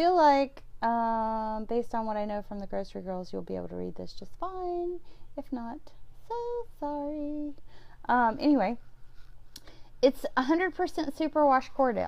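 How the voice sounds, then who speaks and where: With long, frequent pauses, a woman with an American accent talks in a high pitch and lively intonation. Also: moderate pace. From US South, central Alabama. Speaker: knitting vlogger. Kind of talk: casual video chat. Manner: chatty, many fillers.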